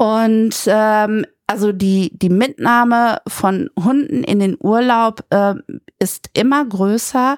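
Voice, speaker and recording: The recording of this woman's medium-pitched voice is very clean, with a silent background and a dry, close sound with no echo. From Germany, Münster. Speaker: administrative manager. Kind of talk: interview.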